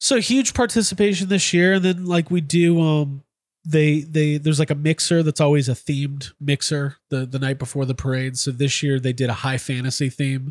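A man with a normal speaking voice talks at a moderate pace and a fairly high pitch, with ordinary pitch variation. He hardly pauses, and the recording is very clean with a silent background. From Chicago, US Midwest. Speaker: podcast host and toy collector. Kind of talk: casual chat.

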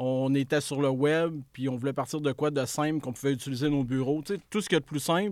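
The recording is very clean, dry and close, with a silent background and no echo. A man speaks at a moderate pace with a fairly high pitch and fairly even intonation. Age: 40s. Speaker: entrepreneur. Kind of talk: casual interview.

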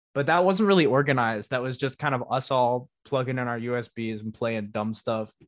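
A man with a plain, everyday voice and an American accent talks at a fairly quick pace with hardly any pauses, his medium pitch showing ordinary pitch variation. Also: very clean recording, silent background. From US Northeast. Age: young (19). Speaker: music producer and DJ. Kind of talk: casual interview chat.

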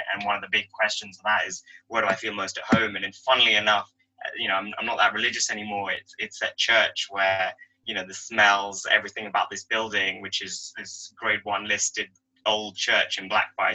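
A man speaks with big swings in loudness.

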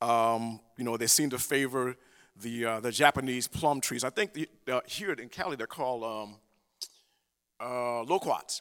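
A man speaks at medium pitch with ordinary pitch variation, leaving long, frequent pauses, in a dry, close recording with no echo. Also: moderate pace. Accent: American. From US South. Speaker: preacher. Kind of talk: sermon. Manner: halting.

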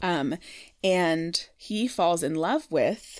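A woman speaks in a normal speaking voice, fairly low in pitch, with lively intonation. The recording is very clean with a silent background. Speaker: podcast host. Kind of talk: casual chat.

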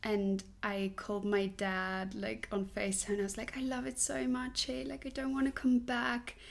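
Someone speaks at a moderate pace with a Swiss German accent. Pitch variation is ordinary. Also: woman. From Switzerland. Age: 20s. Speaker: musical theatre performer. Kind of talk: casual interview. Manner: animated, laughs often.

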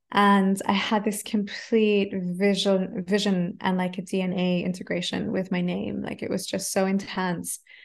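Speaking at a fairly slow pace with hardly any pauses, a woman at medium pitch sounds somewhat breathy, with monotone, flat intonation. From Australia, Adelaide. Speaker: mantra musician and voice coach. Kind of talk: casual chat.

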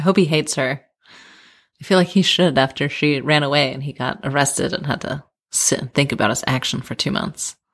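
With a General American accent, a woman speaks at a fairly quick pace in a very deep, low pitch and ordinary pitch variation, on a very clean recording with a silent background. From Colorado, US (Denver). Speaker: podcast guest, friend of host. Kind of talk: casual chat. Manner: laughs often.

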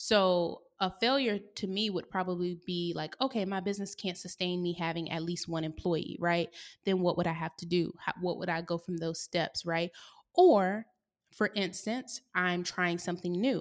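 A woman with an American accent and an unremarkable speaking voice, fairly low pitch, fairly even intonation and a moderate pace, on a very clean recording with a silent background. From US South. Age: 20s. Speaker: podcast host. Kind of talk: casual solo monologue. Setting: her co-working space.

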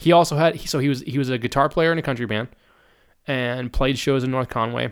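There is vocal fry in this man's voice. He speaks at a medium pitch. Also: very clean recording, silent background. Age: 30s. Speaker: musician. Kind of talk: casual chat. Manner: talkative.

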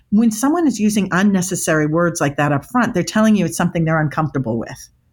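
A woman's somewhat breathy voice with an American accent, very fast, at medium pitch, with lively intonation. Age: 50s. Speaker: body language expert. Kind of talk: interview.

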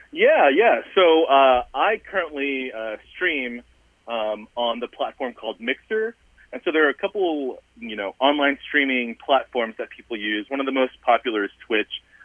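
An unremarkable speaking voice from a man with an American accent, fairly high pitch, lively intonation and a moderate pace. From US South, Southern Virginia. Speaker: gaming chaplain, deacon. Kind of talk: interview. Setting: remote call into radio show.

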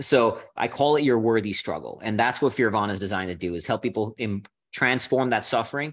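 An ordinary speaking voice, this man with an American accent talks at a fairly quick pace and medium pitch with ordinary pitch variation against a quiet background. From India and Singapore, then US from age 13. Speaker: polar explorer and Marine veteran. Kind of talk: casual chat.

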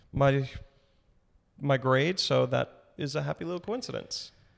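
This man's voice sits fairly high. He talks at a moderate pace. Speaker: middle school ESL teacher. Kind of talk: casual interview. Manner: hesitant, many ums.

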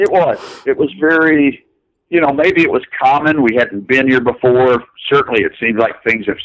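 In an American accent, a man talks with an ordinary speaking voice at medium pitch, lively intonation, very even loudness and a moderate pace. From US South, north central Kentucky. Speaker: animator. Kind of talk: interview.

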